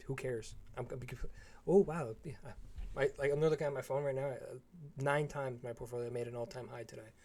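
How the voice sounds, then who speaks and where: A man with a medium-pitched, dark and mellow, somewhat breathy voice talks fairly quickly with fairly even intonation, big swings in loudness and long, frequent pauses. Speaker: trading educator. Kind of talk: live stream chat. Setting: live stream. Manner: monotone.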